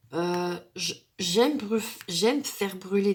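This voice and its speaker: Her speech shows ordinary pitch variation from this woman. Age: 40s. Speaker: craft YouTuber. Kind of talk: casual tag video monologue. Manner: hesitant, many fillers.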